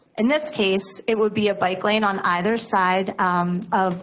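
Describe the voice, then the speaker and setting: There is audible room echo around a woman whose intonation stays fairly even. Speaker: nonprofit transportation planner. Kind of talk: presentation at council meeting. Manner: loud; hesitant, many fillers.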